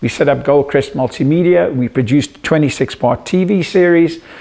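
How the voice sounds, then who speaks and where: A man with a South African accent and a fairly high pitch, fairly quick pace and ordinary pitch variation, over noticeable background noise. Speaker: psychologist and media entrepreneur. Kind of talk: self-introduction pitch to camera.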